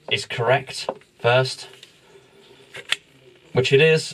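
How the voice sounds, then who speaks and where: The speaker keeps a fairly even intonation while noticeable background noise runs underneath. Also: man. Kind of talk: tutorial. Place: home room.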